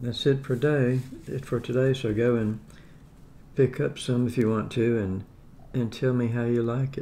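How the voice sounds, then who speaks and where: A man talks at a moderate pace in a monotone, flat delivery over light background noise. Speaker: home food reviewer. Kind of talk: casual vlog chat. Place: home room. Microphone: phone near.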